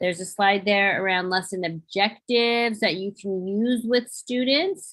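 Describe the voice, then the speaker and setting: Speaking at a fairly slow pace, a woman has an unremarkable speaking voice. Her pitch varies in an ordinary way. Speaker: teacher presenter. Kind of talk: workshop presentation.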